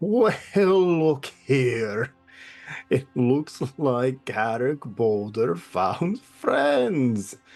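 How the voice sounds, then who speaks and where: Over faint music in the background, a put-on character voice at a low-to-middle pitch moves at a very slow pace. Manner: taunting, sarcastic.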